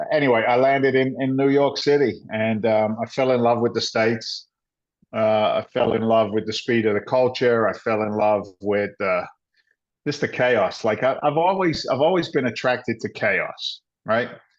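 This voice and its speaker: A man's medium-pitched voice with an English accent, moderate pace, ordinary pitch variation and very even loudness. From England, London. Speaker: former firefighter and real estate investor. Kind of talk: interview storytelling. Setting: podcast recording. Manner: animated.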